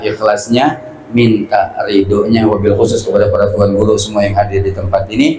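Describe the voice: At a moderate pace, a man with a fairly low pitch and a slightly mellow tone speaks with little pitch movement amid audible room echo.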